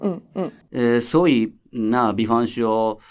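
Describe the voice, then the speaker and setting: A man with a Japanese accent speaks very slowly. His medium-pitched voice has lively intonation. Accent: Japanese-accented Mandarin. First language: Japanese (speaking Chinese). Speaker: theatre director. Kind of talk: casual interview chat. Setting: recording venue. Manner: halting, many filler sounds.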